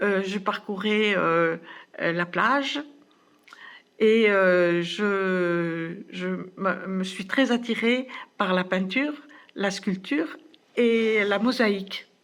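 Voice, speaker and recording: Speaking very slowly, a woman leaves long, frequent pauses between her words. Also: medium pitch for a woman, ordinary pitch variation. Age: 70s. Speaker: fitness program participant. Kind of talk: testimony. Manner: halting, many hesitations.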